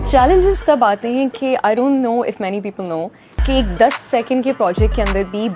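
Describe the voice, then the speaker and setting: Music playing behind a woman talking at a moderate pace. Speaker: voice actor, voiceover artist. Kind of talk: casual interview answer about her voiceover career. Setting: interview.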